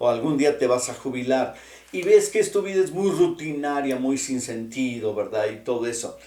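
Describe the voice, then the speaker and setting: A man at a moderate pace, amid noticeable background noise and audible room echo. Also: medium pitch for a man, ordinary pitch variation. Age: 60s. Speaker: pastor. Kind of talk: sermon. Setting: online church broadcast. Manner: conversational, with many fillers.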